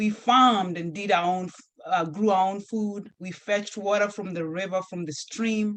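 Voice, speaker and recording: A woman in a Kenyan accent, medium pitch, moderate pace and ordinary pitch variation. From Kenya, rural village. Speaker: nurse and health advocate, author. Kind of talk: interview. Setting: video call.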